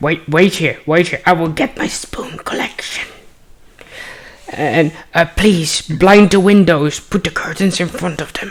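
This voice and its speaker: A put-on character voice delivered at a middle pitch. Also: fairly slow pace. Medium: actual play. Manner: excitable, repetitive, fussy.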